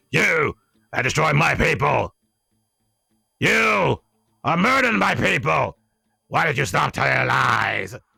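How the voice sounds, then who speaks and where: Recorded with a dry, close sound and no echo, a man uses a raspy put-on character voice, talking at a fairly slow pace with long, frequent pauses. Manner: accusing, indignant.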